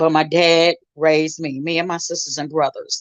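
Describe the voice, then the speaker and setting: Loud and animated, a woman with an American accent speaks at a fairly slow pace in a fairly low pitch. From St. Louis, Missouri, US. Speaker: gospel singer and minister. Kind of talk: testimony.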